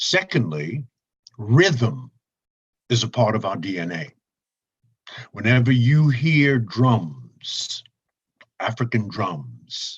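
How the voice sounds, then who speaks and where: A man's medium-pitched, somewhat breathy voice in an American accent, very slow with long, frequent pauses and very wide pitch swings. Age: 70s. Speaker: public speaker. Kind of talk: interview.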